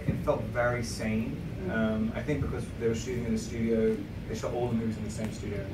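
A man speaks fairly quickly while noticeable background noise runs behind him. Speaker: guest. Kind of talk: interview answer. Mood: relaxed, reflective. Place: hall.

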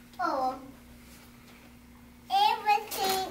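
A female-sounding voice puts on a character voice at an extremely high pitch. Loud background noise fills the clip. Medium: role play.

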